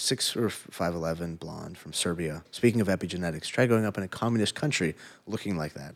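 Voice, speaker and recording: Very deep and low in pitch, a man with an American accent talks at a very fast pace with ordinary pitch variation, on a very clean recording with a silent background. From Los Angeles, US. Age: 30s. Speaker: former MMA fighter. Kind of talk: casual chat.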